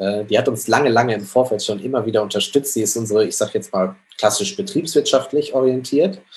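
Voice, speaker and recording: A man speaks over noticeable background noise. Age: 30s. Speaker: social startup co-founder. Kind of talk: interview.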